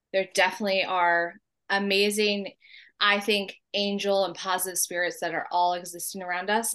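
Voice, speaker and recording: A woman's bright, sharp voice in a medium pitch, with fairly even intonation, a moderate pace and an American accent, against a quiet background. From US West Coast, San Diego. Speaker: guest sharing ghost stories. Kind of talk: casual storytelling.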